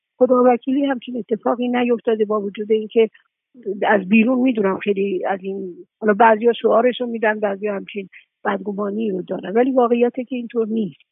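An unremarkable speaking voice from a woman, fairly quick, with fairly even intonation. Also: fairly high pitch for a woman. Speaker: film producer. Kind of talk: interview.

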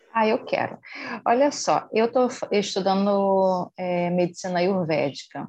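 With a plain, everyday voice, a woman speaks fairly slowly in a medium pitch, with ordinary pitch variation and very even loudness. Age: 50s. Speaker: meditation class participant. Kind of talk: audience question.

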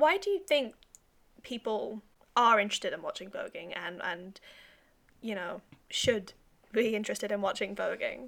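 A woman with a British accent talks at a moderate pace, with long, frequent pauses and big swings in loudness. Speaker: podcast host. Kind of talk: casual interview chat.

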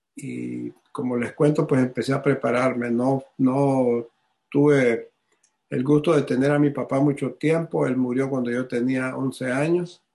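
A man speaks at a very slow pace with a dark, mellow tone. His pitch is medium and his intonation fairly even. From Honduras. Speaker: businessman and ministry regional director. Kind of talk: testimony.

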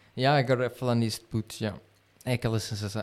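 The speaker is a man. He talks with a European Portuguese accent. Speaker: podcast co-host. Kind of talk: casual chat. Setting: live stream.

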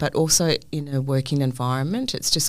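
With a New Zealand accent, a woman speaks at a moderate pace in a very deep, low pitch. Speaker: hospitality venue manager. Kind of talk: casual interview. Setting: studio.

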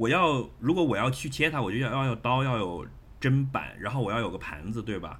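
Over noticeable background noise and audible room echo, a man with a medium-pitched voice speaks fairly quickly with lively intonation. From Shenzhen, China. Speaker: podcast guest. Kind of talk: casual chat. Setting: video call.

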